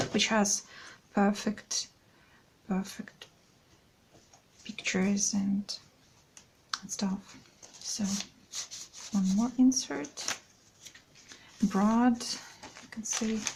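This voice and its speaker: Quiet and very slow, the speech has fairly even intonation, big swings in loudness and long, frequent pauses, with noticeable background noise behind it. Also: woman, medium pitch for a woman. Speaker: craft video creator. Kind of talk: product flip-through tutorial. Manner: halting.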